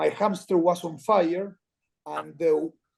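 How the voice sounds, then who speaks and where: In an Argentine accent, a man speaks with a dark, mellow tone. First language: Spanish. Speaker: former rugby player and commentator. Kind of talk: podcast interview. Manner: halting.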